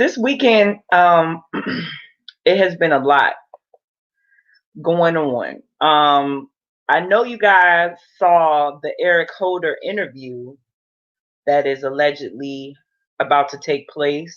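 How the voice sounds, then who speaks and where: A very slow pace broken by long, frequent pauses. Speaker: online show host. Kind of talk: casual live stream chat. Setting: live stream with chat. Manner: loud.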